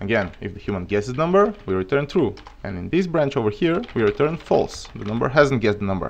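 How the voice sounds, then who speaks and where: A man talks at a very fast pace with a Bulgarian accent. His medium-pitched voice swings very widely in pitch. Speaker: programming streamer. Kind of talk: live coding tutorial. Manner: halting.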